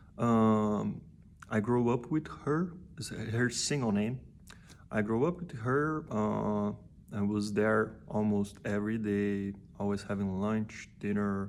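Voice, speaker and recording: A man with a Portuguese accent at a very slow pace, with ordinary pitch variation. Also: fairly low pitch for a man. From Brazil. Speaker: musician and vlogger. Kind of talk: personal vlog talk. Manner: halting, many fillers and repeats.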